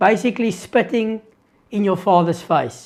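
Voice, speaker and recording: A very slow pace in a South African accent. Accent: Afrikaans South African English. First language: Afrikaans. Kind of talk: live Q&A stream. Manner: hesitant, with fillers and restarts.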